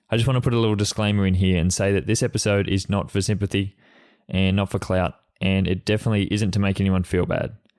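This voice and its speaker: Here a man speaks with an Australian accent. His pace is very fast and his intonation fairly even. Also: fairly low pitch for a man. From Australia, Sydney. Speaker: podcast host, freelance photographer. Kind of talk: solo podcast monologue. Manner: halting, with repetitions and fillers.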